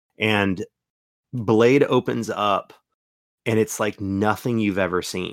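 A man with a Florida accent at a very slow pace, fairly low in pitch with fairly even intonation and long, frequent pauses, dry and close with no echo on a very clean recording with a silent background. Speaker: guest host. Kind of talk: casual chat.

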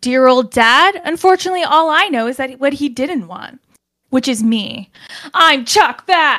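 A woman speaks in a raised, projected voice, high-pitched with a bright, sharp tone. Her delivery is fairly slow, with lively intonation and big swings in loudness. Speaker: podcaster. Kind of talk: casual chat.

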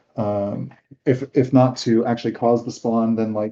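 A man's medium-pitched voice with an American accent, a dark, mellow tone, fairly even intonation and a moderate pace. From Northern California, Bay Area near Oakland. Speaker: crypto gaming community member. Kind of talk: casual chat. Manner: halting, many fillers.

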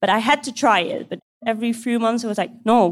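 The speaker has a Dutch accent and keeps a moderate pace. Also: woman. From Netherlands, Amsterdam. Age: 20s. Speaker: CrossFit coach. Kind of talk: live Q&A panel. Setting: stage with audience.

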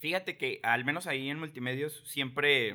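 With a Mexican accent, a man talks at a moderate pace with ordinary pitch variation. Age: 20s. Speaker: entrepreneur. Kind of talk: casual chat.

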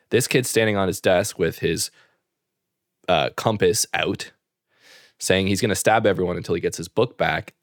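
A man with a Canadian accent and a fairly low pitch speaks in an animated tone at a moderate pace with long, frequent pauses, in a very clean recording with a silent background and a dry, close sound with no echo. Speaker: podcast host. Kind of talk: casual banter podcast. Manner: joking, animated.

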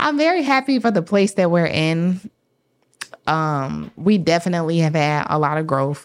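A woman speaks at a moderate pace with a Southern US accent, her pitch fairly low. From US South. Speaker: host's fiancée. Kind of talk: casual chat.

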